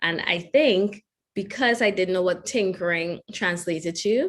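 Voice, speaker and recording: With a Trinidadian accent, a woman talks at a fairly slow pace. Her pitch variation is ordinary. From Trinidad and Tobago. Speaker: engineer and keynote speaker. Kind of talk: keynote talk.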